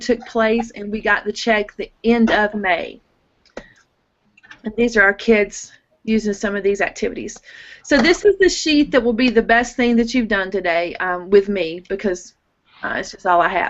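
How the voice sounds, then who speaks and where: Moderately paced, a woman speaks in a normal speaking voice. Her pitch is fairly high, with ordinary variation. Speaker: teacher presenting on grant writing. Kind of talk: presentation over video call.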